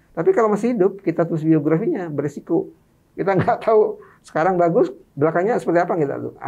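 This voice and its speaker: Speaking at a very fast pace, a man uses a high pitch with ordinary pitch variation. His tone is dark and mellow, and the background is quiet. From Madura, East Java, Indonesia; East Java, Indonesia. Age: 50s. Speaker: author and activist; guest. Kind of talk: interview. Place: studio. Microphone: studio mic.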